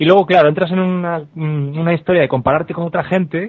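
Ordinary pitch variation in a man's high-pitched voice. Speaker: comedy podcaster. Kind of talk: casual chat.

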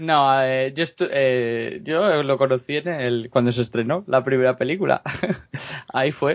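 An ordinary speaking voice belongs to a man with medium pitch and ordinary pitch variation. He speaks at a fairly slow pace. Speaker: comics co-host. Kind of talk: casual chat.

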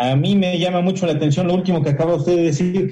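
High pitch from a man, paired with a dark, mellow tone. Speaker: radio host and psychologist. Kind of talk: radio interview.

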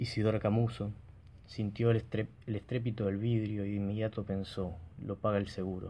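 Deadpan and monotone, a man speaks at a moderate pace in a dark, mellow tone with flat intonation and long, frequent pauses. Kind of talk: literary audiobook reading. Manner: measured, formal narrator's delivery, dryly ironic and deadpan.

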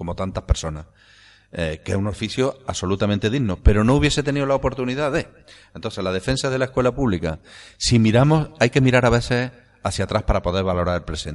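With an Andalusian accent, a man at a medium pitch speaks very fast with lively intonation. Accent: Andalusian with seseo. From Andalusia, Córdoba province (Priego de Córdoba area). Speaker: writer and philologist. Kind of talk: interview.

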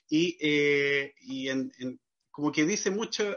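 This man's voice shows ordinary pitch variation. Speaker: podcast host. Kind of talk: interview conversation. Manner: halting.

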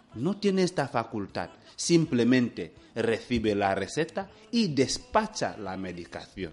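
A man with a medium pitch speaks at a fairly slow pace, his pitch swinging very widely. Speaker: hospital director. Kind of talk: radio interview. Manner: halting.

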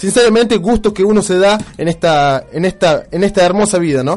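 A man speaks high in pitch at a moderate pace. His pitch varies in an ordinary way. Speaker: internet radio host. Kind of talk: casual radio chat.

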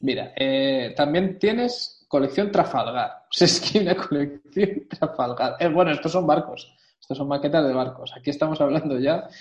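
An ordinary speaking voice from a man, fairly high in pitch, at a moderate pace with hardly any pauses and ordinary pitch variation. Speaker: podcast co-host. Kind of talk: casual chat.

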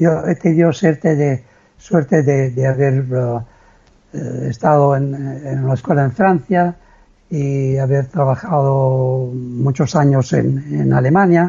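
A man's fairly high voice with an Italian accent at a very slow pace. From Italy (Liguria, near San Remo). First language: Italian (speaking Spanish). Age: 70s. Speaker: retired amateur endurance athlete. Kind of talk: interview.

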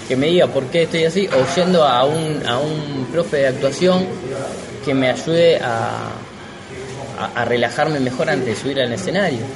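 At a moderate pace, a man with a fairly high pitch speaks amid noticeable background noise and audible room echo. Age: 30s. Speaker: stand-up comedian. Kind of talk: casual interview.

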